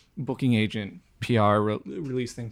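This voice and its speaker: In a very clean recording with a silent background, a man with a normal speaking voice talks at a moderate pace with a fairly low pitch and fairly even intonation. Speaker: podcast co-host. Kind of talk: casual interview chat.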